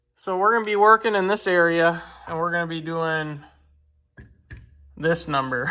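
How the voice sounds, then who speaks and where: With a Minnesotan accent and a high-pitched voice, a man speaks at a moderate pace with ordinary pitch variation and long, frequent pauses, and audible room echo. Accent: Minnesota. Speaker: car enthusiast YouTuber. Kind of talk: DIY tutorial. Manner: animated.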